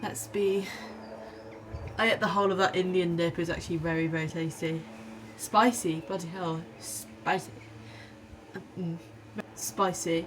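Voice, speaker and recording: With noticeable background noise behind her, a woman speaks at a moderate pace, her pitch swinging very widely and her speech broken by long, frequent pauses. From Wales. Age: 20s. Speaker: physician associate student. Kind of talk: casual vlog talk to camera.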